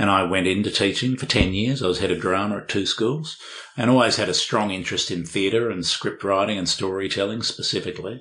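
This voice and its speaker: In an Australian accent, a man speaks at a fairly quick pace with a fairly low pitch, ordinary pitch variation and a bright, sharp tone. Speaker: sales pitching and performance coach. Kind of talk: interview. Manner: hesitant, repeats words.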